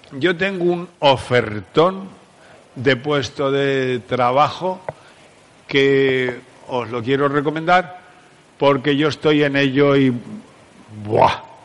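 With long, frequent pauses, a man talks at a very slow pace in a fairly high pitch. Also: ordinary pitch variation. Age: 70s. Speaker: psychologist and conference speaker. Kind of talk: talk to a live audience. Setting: stage with audience. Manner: animated.

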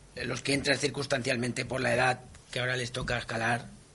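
Noticeable background noise sits under fairly quick speech with monotone, flat intonation. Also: man. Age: 50s. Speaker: mountaineer. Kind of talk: interview.

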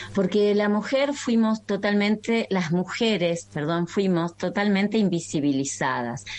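A woman with a plain, everyday voice speaks at a medium pitch and a fairly slow pace, with lively intonation. She keeps a very even loudness and takes hardly any pauses. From Argentina, Entre Ríos. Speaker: naturopathic doctor. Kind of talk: interview. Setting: video call.

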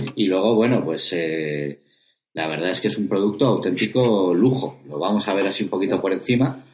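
A man speaks at a moderate pace in a fairly low pitch. His intonation is lively. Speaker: tabletop roleplaying podcast host. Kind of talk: casual chat. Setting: video recording.

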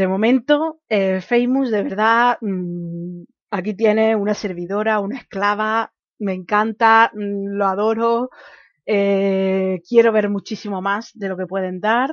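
Very slowly and with fairly even intonation, a woman speaks at medium pitch. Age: 20s. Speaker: podcast host. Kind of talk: solo commentary podcast.

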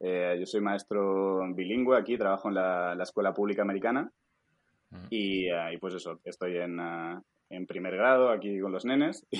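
A normal speaking voice from a man, moderate in pace, fairly low in pitch, its pitch varying in an ordinary way. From Spain, Alicante. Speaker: stock photographer and schoolteacher. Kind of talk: casual interview.

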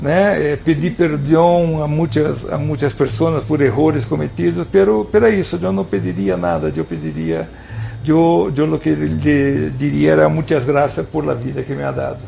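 Over noticeable background noise, a man at medium pitch speaks fairly slowly with very wide pitch swings. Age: 50s. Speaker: TV drama director. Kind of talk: interview.

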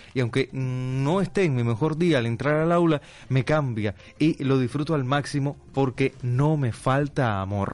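A man with a plain, everyday voice speaks at a medium pitch and a fairly slow pace, with ordinary pitch variation. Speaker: radio announcer. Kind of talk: reading listener comments aloud. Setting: radio studio.

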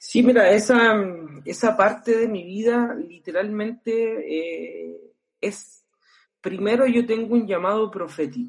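A man with a Chilean accent speaks at a very slow pace, his pitch high for a man. His loudness swings widely while his pitch varies in an ordinary way. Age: 30s. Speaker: pastor and worship musician. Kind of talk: casual interview.

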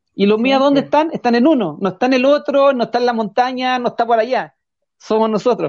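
This man's pitch is extremely high, with ordinary variation. He talks at a very fast pace. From Chile, Curacaví. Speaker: rural tourism operator and mountain guide. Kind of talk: interview. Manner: halting, many repetitions.

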